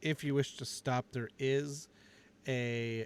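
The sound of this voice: The delivery is an unforced reading voice with fairly even intonation.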